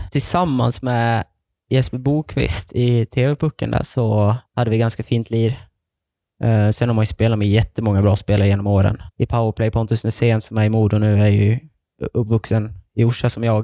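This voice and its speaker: Dry and close with no echo on a very clean recording with a silent background, a man's dark, mellow voice sits at medium pitch, moving at a moderate pace with fairly even intonation and very even loudness. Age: 20s. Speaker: ice hockey player. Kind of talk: interview.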